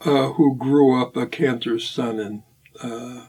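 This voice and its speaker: With an American accent, a man speaks at a medium pitch. His intonation stays fairly even. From US Northeast, Hartford, Connecticut. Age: 80s+. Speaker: bassist and composer. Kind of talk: interview. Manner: halting, many fillers.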